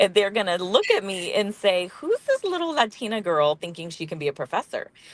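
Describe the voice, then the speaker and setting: Speaking with an American accent at a fairly quick pace, the voice has big swings in loudness, with a dry, close sound with no echo and noticeable background noise. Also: woman. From central coast California, rural. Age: 40s. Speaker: social work professor. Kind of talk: interview.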